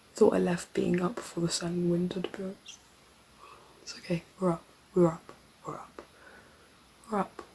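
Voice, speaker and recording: Long, frequent pauses mark a woman's speech in a British accent at a fairly low pitch, with noticeable background noise. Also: moderate pace, big swings in loudness. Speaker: vlogger, acting student. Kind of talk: casual vlog. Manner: animated.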